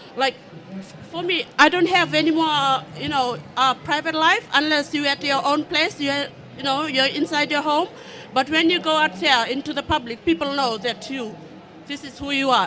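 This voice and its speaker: A woman's raised, projected voice, high in pitch with ordinary pitch variation, at a moderate pace over noticeable background noise. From Fiji. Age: 30s. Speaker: audience member living with HIV. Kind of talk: testimony. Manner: halting, many fillers.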